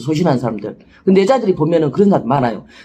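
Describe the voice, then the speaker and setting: The speaker's tone is animated. Delivery comes at a very fast pace. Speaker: shaman fortune teller. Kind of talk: casual talk to camera. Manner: blunt, rough speech.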